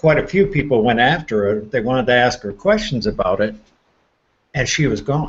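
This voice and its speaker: A somewhat breathy man at a medium pitch, with lively intonation and a moderate pace over a quiet background. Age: 60s. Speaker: paranormal enthusiast. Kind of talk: casual chat. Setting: live stream hangout.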